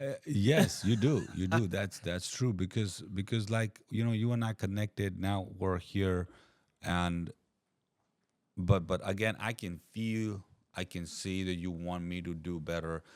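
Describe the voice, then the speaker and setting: Very deep and low in pitch, a man with a non-native accent speaks at a fairly slow pace with ordinary pitch variation on a very clean recording with a silent background. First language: not English. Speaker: podcast guest. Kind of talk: casual chat. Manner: halting, repeats words.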